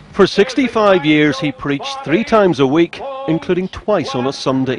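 A man speaks in a high pitch, his pitch swinging very widely. Noticeable background noise comes through. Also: moderate pace. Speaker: news reporter. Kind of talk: TV news report.

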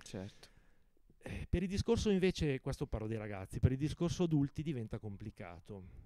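Using lively intonation, a man speaks at a moderate pace in a dark, mellow tone. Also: dry sound with no echo. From Lodi, Lombardy, northern Italy; Lombardy, Italy. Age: 50s. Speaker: author and publisher. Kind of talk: interview. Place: garden. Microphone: handheld.

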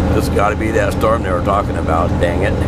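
Loud background noise surrounds the recording. A man talks, and the sound is dry with no echo. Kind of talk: casual vlog chat. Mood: mildly worried about the weather. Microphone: camera far.

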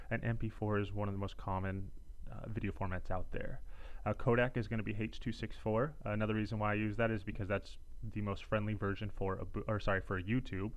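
A man with a fairly low pitch and monotone, flat intonation, at a fairly quick pace. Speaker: tutorial narrator. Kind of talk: tutorial. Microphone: studio mic.

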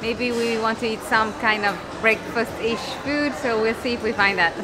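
The intonation stays fairly even. Clear crowd noise and clear background noise fill the background. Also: woman, fairly high pitch for a woman, moderate pace.

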